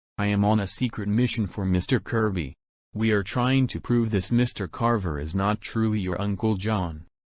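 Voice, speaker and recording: A man uses a put-on character voice at a fairly low pitch. His pace is moderate, and the background is quiet. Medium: voice reel. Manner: formal, deferential.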